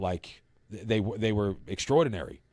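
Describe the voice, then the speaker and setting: In a very clean recording with a silent background, a man with a New York accent talks at a fairly quick pace, his fairly low pitch held in fairly even intonation. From New York City (Brooklyn). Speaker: recovery advocate. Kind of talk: podcast interview. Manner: halting.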